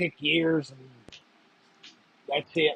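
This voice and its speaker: Speaking at a fairly slow pace, this voice carries an American accent. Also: man. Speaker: live stream host. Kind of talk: casual chat. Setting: live stream.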